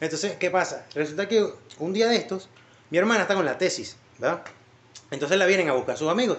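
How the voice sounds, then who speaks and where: A high-pitched man with a Venezuelan accent, animated and very fast, with long, frequent pauses, ordinary pitch variation and noticeable background noise. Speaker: podcast host. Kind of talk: casual chat.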